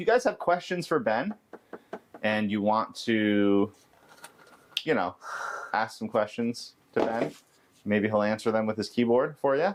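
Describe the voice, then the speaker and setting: Noticeable background noise runs under a man speaking at a moderate pace. His intonation is lively. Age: 30s. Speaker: caregiver livestream host. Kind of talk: casual livestream chat. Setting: livestream.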